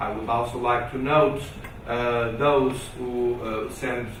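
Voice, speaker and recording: Audible room echo and noticeable background noise surround a man of medium pitch speaking very slowly in a Portuguese accent. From Portugal. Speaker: conference speaker. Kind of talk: formal speech. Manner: halting; formal.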